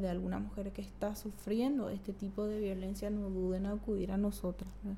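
Audible room echo follows a woman speaking at a medium pitch and a moderate pace. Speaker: women's rights advocate. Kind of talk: interview conversation. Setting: studio.

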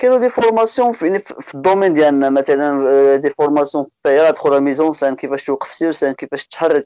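A man talks at a very fast pace in a dark, mellow tone with ordinary pitch variation. The sound is dry and close, with no echo. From Morocco, Oujda (eastern region). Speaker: musician in a band. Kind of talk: casual interview.

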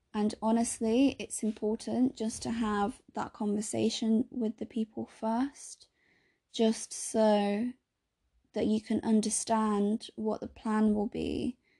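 Very slowly, a woman speaks at a fairly high pitch in a somewhat breathy voice with a dark, mellow tone and monotone, flat intonation. The sound is dry and close with no echo, over a quiet background. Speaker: podcast host and healthcare worker. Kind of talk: solo podcast monologue. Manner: casual, frequent fillers.

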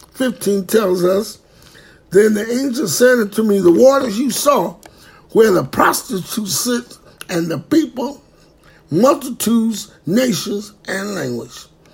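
Over noticeable background noise, a man talks at a fairly slow pace with a high pitch and lively intonation. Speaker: preacher. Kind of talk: bible teaching.

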